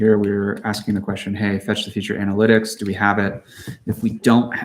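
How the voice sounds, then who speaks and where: Here a man is mumbling. His pitch is fairly low. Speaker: software developer live streaming coding. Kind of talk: live coding tutorial. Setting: live stream with screen share.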